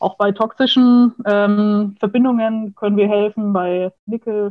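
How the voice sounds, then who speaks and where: A woman's voice with fairly even intonation. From Franconia, Nuremberg. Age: 20s. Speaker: food chemist. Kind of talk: interview.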